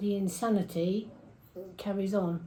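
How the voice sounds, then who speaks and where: Her voice sits at a medium pitch and sounds somewhat breathy. The woman talks at a fairly slow pace with fairly even intonation. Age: 70s. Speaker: community food volunteer. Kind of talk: interview testimony.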